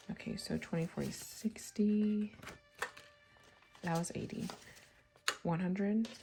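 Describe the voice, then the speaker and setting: Music plays behind a woman speaking at medium pitch in a monotone with flat intonation. She goes at a fairly slow pace, with long, frequent pauses. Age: 30s. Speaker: budgeting vlogger. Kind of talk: casual chat.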